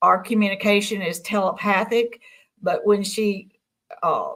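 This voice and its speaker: A woman has a normal speaking voice at a medium pitch. She talks at a fairly slow pace with fairly even intonation. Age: 60s. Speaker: UFO contactee. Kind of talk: interview testimony.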